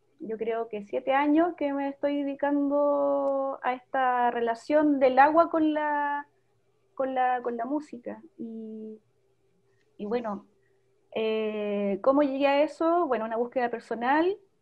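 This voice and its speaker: A high-pitched woman's voice at a very slow pace, with ordinary pitch variation and a quiet background. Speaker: music teacher guest. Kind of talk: interview answer. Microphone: video call.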